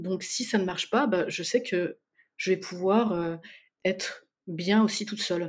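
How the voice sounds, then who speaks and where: Long, frequent pauses break up a woman's fairly slow speech, which has a medium pitch and fairly even intonation. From France, Spanish parents. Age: 40s. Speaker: listener guest, paramedical worker. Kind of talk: casual interview chat.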